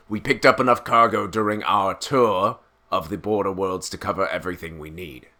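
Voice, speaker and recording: Putting on a character voice, a man rumbles at a fairly low pitch and a fairly quick pace, with big swings in loudness. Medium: read story. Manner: grumbling, sour.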